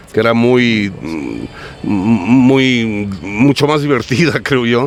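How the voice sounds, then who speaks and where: Against noticeable background noise, the speaker talks at a very slow pace with ordinary pitch variation. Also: man, medium pitch for a man. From United States. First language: English (speaking Spanish). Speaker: writer and bookseller. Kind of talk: interview. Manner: animated.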